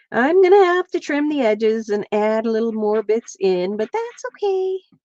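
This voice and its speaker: At a fairly slow pace, a woman with an American accent speaks at a fairly high pitch with very wide pitch swings and a dark, mellow tone, the sound dry and close with no echo. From central Pennsylvania, US. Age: 60s. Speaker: crafter and livestreamer. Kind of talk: casual livestream craft chat.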